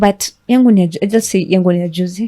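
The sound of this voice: A woman talks at a fast pace with a dark, mellow tone, a medium pitch and ordinary pitch variation.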